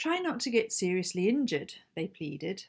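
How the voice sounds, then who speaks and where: At a moderate pace, a woman is talking. Her background is silent, making for a very clean recording. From Zimbabwe. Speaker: amateur writer. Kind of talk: reading aloud own short story.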